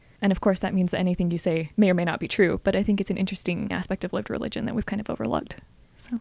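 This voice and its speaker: A woman speaks very fast at a medium pitch with vocal fry. Her intonation stays fairly even. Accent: American. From US Southwest, Arizona (Flagstaff). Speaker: history PhD student. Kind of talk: interview.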